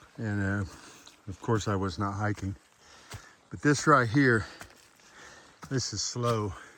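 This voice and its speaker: Over noticeable background noise, a man with an American accent speaks very slowly at a fairly low pitch with ordinary pitch variation. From Florida. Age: 60s. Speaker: hiking vlogger. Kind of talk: outdoor vlog narration. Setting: outdoors on a mountain trail. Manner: casual, halting with fillers.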